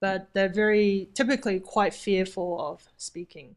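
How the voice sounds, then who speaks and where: Speaking at medium pitch, a woman has a slight New Zealand accent. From New Zealand, moved from Taipei at twelve. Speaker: vacation rental host. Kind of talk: interview.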